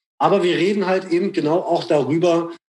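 A man's high voice with fairly even intonation. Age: 40s. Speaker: rapper and radio host. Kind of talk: casual interview chat.

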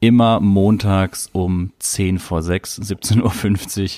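This is an ordinary speaking voice with ordinary pitch variation and a dry, close sound with no echo. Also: man. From southern Germany. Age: 30s. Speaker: podcast host. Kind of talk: casual chat. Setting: remote call.

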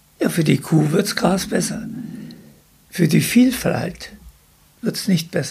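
Long, frequent pauses mark the fairly slow speech of a man with a high voice, heard over noticeable background noise. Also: ordinary pitch variation. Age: 80s+. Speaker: retired agricultural scientist. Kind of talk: casual interview. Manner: halting.

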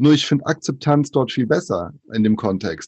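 At a moderate pace and medium pitch, a man speaks with ordinary pitch variation in a plain, everyday voice. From Brazil, moved to Germany at five. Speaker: author and diversity speaker. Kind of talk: casual interview.

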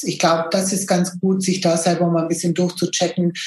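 A woman with fairly low pitch and noticeable background noise. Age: 50s. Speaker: business owner, photography studio. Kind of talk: podcast interview.

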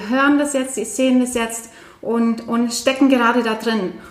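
Fairly high-pitched female speech, fairly slow and fairly even in intonation, with noticeable background noise. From Norway. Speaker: podcast host. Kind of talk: casual chat.

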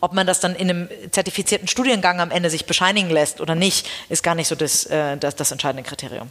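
At a very fast pace, a woman with a fairly low pitch speaks with ordinary pitch variation. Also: hardly any pauses. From Hamburg, northern Germany. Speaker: headhunter and company founder. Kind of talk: interview.

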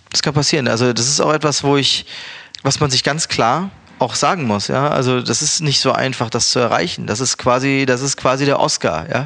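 Speaking at a fairly quick pace over noticeable background noise, a man keeps his loudness very even, his medium pitch showing ordinary variation. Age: 30s. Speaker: chef and restaurant owner. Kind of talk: casual interview. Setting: recorded in Berlin.

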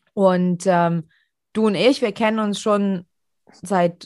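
A woman talks at a very slow pace and a medium pitch. The sound is dry and close, with no echo and a quiet background. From Europe. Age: 30s. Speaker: podcast host. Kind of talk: casual chat.

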